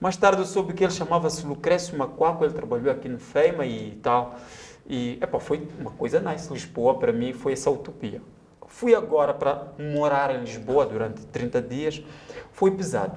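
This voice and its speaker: With a Mozambican accent, a man talks at a moderate pace in a fairly high pitch with lively intonation. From Mozambique, Maputo area. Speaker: writer and journalist. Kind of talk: casual interview chat, storytelling. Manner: animated.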